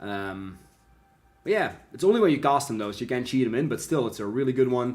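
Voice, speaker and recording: This is a man with a medium pitch. He has a non-native accent. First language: not English. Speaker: live streamer opening card packs. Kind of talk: live stream chat. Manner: animated.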